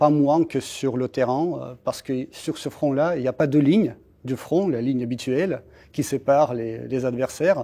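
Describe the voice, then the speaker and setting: In a Russian accent, a man speaks with a dark, mellow tone at a fairly high pitch. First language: Russian (speaking French). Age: 40s. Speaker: embassy spokesperson. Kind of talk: interview. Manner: halting, many hesitations.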